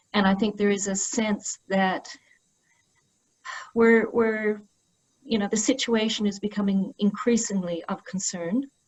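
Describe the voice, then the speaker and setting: Australian-accented female voice, pitched in the middle range. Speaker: historian. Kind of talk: panel discussion.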